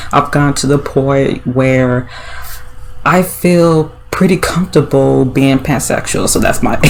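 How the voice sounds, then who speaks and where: At a fairly slow pace, a woman speaks with a very deep, low pitch amid noticeable background noise. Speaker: YouTuber vlogger. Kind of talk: casual vlog monologue. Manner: many fillers and hesitations.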